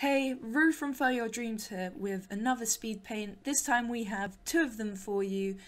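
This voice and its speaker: Speaking at a fairly slow pace, a woman uses a fairly high pitch and ordinary pitch variation, her voice somewhat breathy. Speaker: digital artist and streamer. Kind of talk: casual video intro.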